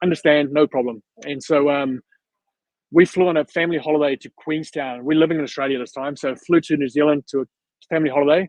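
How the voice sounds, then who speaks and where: In a South African accent, a man talks at a fairly quick pace with a fairly high pitch and fairly even intonation. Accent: South African (Afrikaans). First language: Afrikaans. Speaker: videographer / vlogger. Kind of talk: casual interview chat. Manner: fast.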